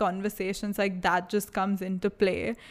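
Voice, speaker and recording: Spoken at a moderate pace with an Indian accent, the recording is very clean with a silent background. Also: woman. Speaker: podcast co-host. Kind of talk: casual chat.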